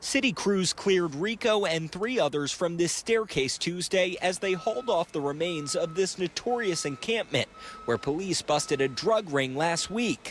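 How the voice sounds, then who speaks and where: A man with an American accent, high in pitch, at a moderate pace and with lively intonation, amid noticeable background noise. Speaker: TV news reporter and weekend anchor. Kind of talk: TV news reporter package and live stand-up.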